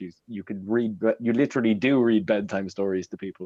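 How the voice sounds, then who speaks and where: This man has an Irish accent and a fairly low pitch. He talks at a fairly quick pace. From Ireland, Waterford. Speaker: social media personality and Irish dancer. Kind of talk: casual live chat.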